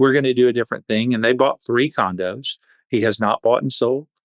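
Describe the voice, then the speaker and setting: Fairly even in intonation, a man speaks at a medium pitch in an unremarkable speaking voice. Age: 60s. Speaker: vacation rental business owner. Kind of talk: podcast interview.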